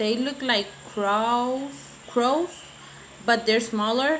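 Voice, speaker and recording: In a Puerto Rican accent, a woman speaks at a very slow pace with a fairly high pitch and lively intonation. Noticeable background noise and audible room echo are present. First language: Spanish. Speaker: beauty vlogger. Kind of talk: casual vlog chat. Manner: halting, searching for words.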